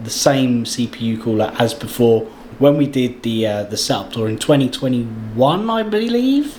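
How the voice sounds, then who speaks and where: Over noticeable background noise, a man with an English accent talks at a medium pitch. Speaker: YouTuber and streamer. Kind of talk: setup tour walkthrough. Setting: home setup, sitting on floor. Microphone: studio microphone.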